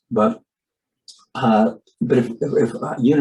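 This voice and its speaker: A man with an American accent. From California. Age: 70s. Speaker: conservation storyteller and broadcaster. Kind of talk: interview conversation. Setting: webinar video call. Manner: halting, with many fillers and repetitions.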